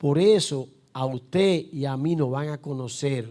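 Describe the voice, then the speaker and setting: A man speaks with a Dominican accent and lively intonation. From Dominican Republic. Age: 60s. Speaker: pastor. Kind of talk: sermon. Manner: emphatic.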